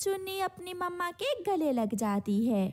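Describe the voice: A woman at a fairly slow pace, dark, mellow tone and big pitch swings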